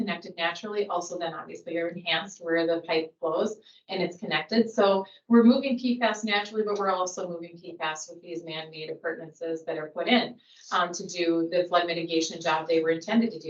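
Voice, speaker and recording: Fairly quick speech in a Minnesota accent, with big swings in loudness and ordinary pitch variation. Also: woman. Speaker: geologist presenting to a public board. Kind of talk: technical presentation at a public meeting.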